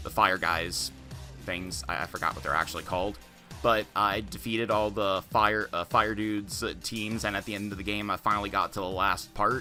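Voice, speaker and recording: Over music in the background, a man with a fairly low pitch speaks with ordinary pitch variation. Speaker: gaming YouTuber. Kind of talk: casual talk to camera. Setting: home USB microphone. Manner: hesitant, stuttering, many filler words; fast.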